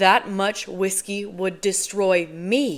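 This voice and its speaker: A woman's put-on, growling character voice at medium pitch, very slow pace and fairly even intonation. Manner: muttered under breath.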